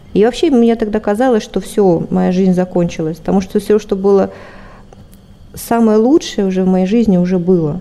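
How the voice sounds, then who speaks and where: Noticeable background noise sits behind a woman speaking at a moderate pace with long, frequent pauses. Her pitch is medium, with ordinary variation. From Siberia, Russia. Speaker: spiritual practitioner, ashram host. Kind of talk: interview, personal testimony.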